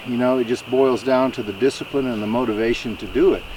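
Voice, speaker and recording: With noticeable background noise behind him, a man of medium pitch talks in a relaxed tone at a fairly quick pace with fairly even intonation. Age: 60s. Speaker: YouTuber building a cabin, paramedic. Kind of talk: casual vlog talk to camera. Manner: relaxed, with many fillers.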